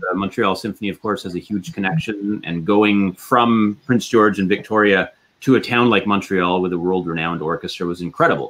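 A man with a Canadian accent, fairly low pitch and ordinary pitch variation, at a fairly quick pace with hardly any pauses. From western Canada. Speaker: orchestra concertmaster violinist. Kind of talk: interview. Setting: video call live stream. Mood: reflective, warm. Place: home room. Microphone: video call.

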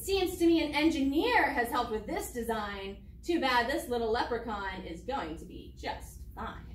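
A woman at a moderate pace with hardly any pauses, audible room echo and light background noise. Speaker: teacher. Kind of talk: children's read-aloud with character voice. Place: classroom.

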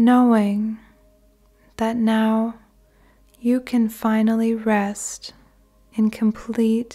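Very slowly, with long, frequent pauses, a woman speaks in a soothing, calm tone at a fairly high pitch. Her voice is somewhat breathy, dark and mellow, with monotone, flat intonation. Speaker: guided meditation narrator. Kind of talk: guided meditation / sleep meditation. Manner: slow, soothing, calm.

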